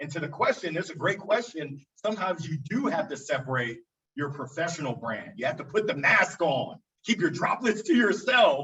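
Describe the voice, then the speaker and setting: Loud and energetic, the voice moves at a moderate pace with very wide pitch swings. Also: man, high pitch for a man. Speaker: business owner. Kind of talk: panel discussion.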